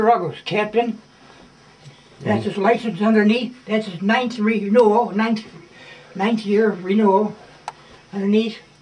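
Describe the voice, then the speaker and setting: A man speaks at a fairly slow pace in a high, flat monotone, with long, frequent pauses. Noticeable noise sits in the background. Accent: American. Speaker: war veteran, former merchant mariner. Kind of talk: interview answer.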